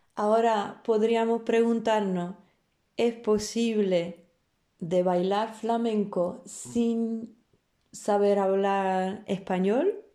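A woman with a Polish accent speaks at a very slow pace in a dark, mellow tone, with fairly even intonation and very even loudness. The recording is very clean, with a silent background. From Poland, Warsaw. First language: Polish (speaking Spanish). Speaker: flamenco dancer and teacher. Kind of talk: interview. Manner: halting, with repetitions.

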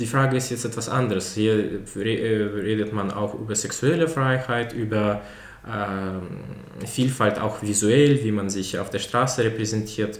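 A man at a very slow pace and fairly low pitch, with noticeable background noise and audible room echo. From mixed: Belarus, with childhood in USA, Italy, Germany. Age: 20s. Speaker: business student and startup founder. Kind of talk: casual interview. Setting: in a flat, in person. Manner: hesitant, many filler sounds.

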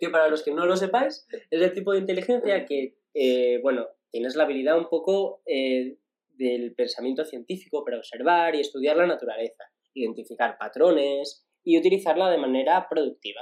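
A man with a high voice speaks at a moderate pace and with lively intonation. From Asturias, Spain. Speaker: podcast co-host. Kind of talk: casual chat. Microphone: poor audio quality.

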